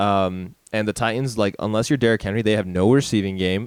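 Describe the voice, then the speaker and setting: The recording is very clean, with a silent background. A man speaks at a fairly low pitch with fairly even intonation. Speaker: sports podcast co-host. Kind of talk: casual chat. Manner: loud.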